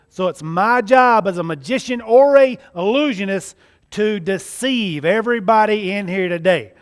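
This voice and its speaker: With a Southern US accent, a man speaks at a high pitch. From US South, central Mississippi. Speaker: magician. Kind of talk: testimony. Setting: church. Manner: animated.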